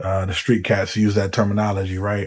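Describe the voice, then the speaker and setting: A soft-spoken man with a dark, mellow tone, fairly low pitch and monotone, flat intonation at a moderate pace, on a very clean recording with a silent background. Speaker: commentary vlogger. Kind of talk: casual monologue. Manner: hesitant, many fillers.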